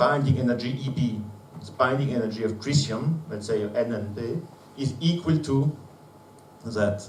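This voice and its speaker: A man with a non-native accent speaks at a medium pitch and a fairly slow pace. The room echo is audible, and background noise is noticeable. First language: not English. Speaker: conference speaker, physicist. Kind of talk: conference presentation. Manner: halting, many fillers.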